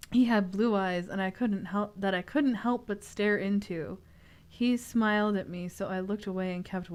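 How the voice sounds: The clip carries a natural reading voice.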